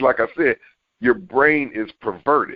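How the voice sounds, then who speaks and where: An animated tone marks this man's speech. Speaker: author and filmmaker. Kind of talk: podcast interview. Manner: halting.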